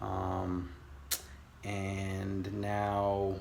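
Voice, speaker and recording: Audible room echo surrounds a man with an American accent who speaks in a fairly low pitch with monotone, flat intonation. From California. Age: 30s. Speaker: aspiring day trader vlogger. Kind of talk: casual vlog monologue. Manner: halting, many fillers.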